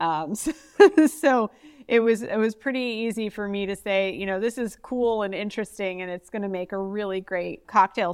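A woman speaks in a normal speaking voice at a medium pitch and a moderate pace. The recording is very clean, with a silent background. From US, northeast Ohio. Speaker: customer success manager. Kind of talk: casual interview.

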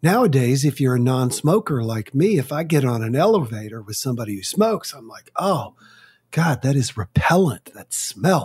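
Somewhat breathy and fairly high-pitched, a man talks at a moderate pace with lively intonation on a very clean recording with a silent background. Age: 60s. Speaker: author and speaker on complaining. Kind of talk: interview.

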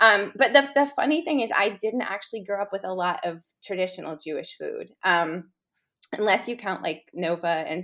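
Speaking in an American accent at a moderate pace, the voice has a bright, sharp tone and lively intonation on a very clean recording with a silent background. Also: woman. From New York City, Upper East Side. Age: 40s. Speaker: food writer and cookbook author. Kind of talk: casual chat.

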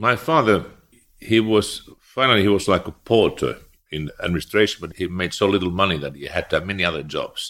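On a very clean recording with a silent background, a man with a Finnish accent speaks at a fairly low pitch and a fairly quick pace. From eastern Finland. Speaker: former finance minister and central banker. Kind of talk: interview.

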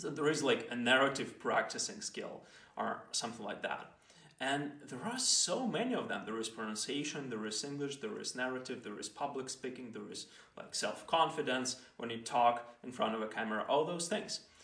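With a non-native accent and lively intonation, a man talks at a medium pitch over noticeable background noise. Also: moderate pace. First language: not English. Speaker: podcast host. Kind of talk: solo explainer monologue. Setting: solo recording with microphone. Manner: halting, with fillers and restarts.

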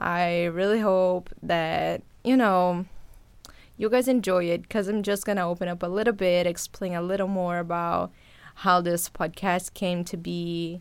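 In a very clean recording with a silent background, a woman with a Brazilian accent speaks at a fairly slow pace, her fairly low pitch carried in fairly even intonation. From Brazil, São Paulo. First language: Portuguese. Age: 20s. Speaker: podcast host and journalist. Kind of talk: casual monologue to listeners. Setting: home recording setup.

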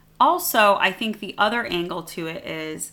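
A woman with an American accent speaks at a fairly slow pace. Her voice is fairly low in pitch with a bright, sharp tone. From United States (born in Iran, moved at age four). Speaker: podcast co-host. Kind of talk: casual chat.

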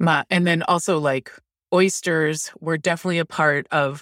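A woman with an American accent speaks with fairly even intonation in a dry, close sound with no echo. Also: very clean recording, silent background. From Maryland, Baltimore County. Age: 40s. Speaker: line cook and food writer. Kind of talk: casual chat.

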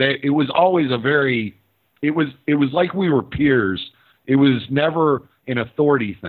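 A man with an American accent speaks at a fairly high pitch. He keeps a moderate pace with ordinary pitch variation. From southeast Texas (Houston). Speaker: podcast host, anarchist commentator, former truck driver. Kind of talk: interview conversation. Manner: hesitant, frequent repetitions.

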